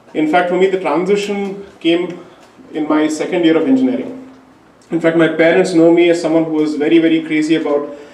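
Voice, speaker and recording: The speaker, with a Tamil accent, talks at a fairly quick pace with ordinary pitch variation. Audible room echo and noticeable background noise are present. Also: man, high pitch for a man. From India. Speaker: lawyer. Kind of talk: public talk. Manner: formal.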